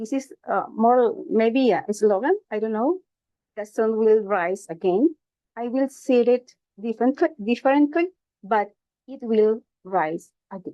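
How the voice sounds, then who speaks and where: A woman with a Spanish accent speaks at a fairly slow pace and a fairly high pitch, with lively intonation and big swings in loudness. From Costa Rica. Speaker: logotherapist, conference speaker. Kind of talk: conference presentation. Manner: halting, hesitant.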